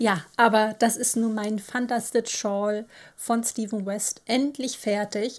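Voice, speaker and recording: Over a quiet background, a woman with an unremarkable speaking voice talks at a fairly high pitch with fairly even intonation. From northern Germany, Baltic coast. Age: 30s. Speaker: knitting podcaster; knitting podcast host. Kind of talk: casual monologue. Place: home room.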